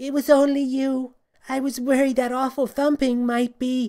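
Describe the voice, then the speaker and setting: This put-on character voice sits at a high pitch, moving at a moderate pace with monotone, flat intonation. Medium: read story. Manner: nervous.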